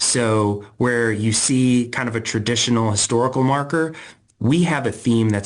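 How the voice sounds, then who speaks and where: Here a man speaks at a medium pitch and a fairly slow pace. His pitch variation is ordinary. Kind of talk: interview answer. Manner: excited, passionate.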